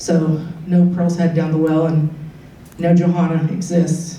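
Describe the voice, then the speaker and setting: Over noticeable background noise and audible room echo, a man talks with a fairly high pitch. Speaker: paranormal tour guide. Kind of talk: presentation to an audience. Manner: fast.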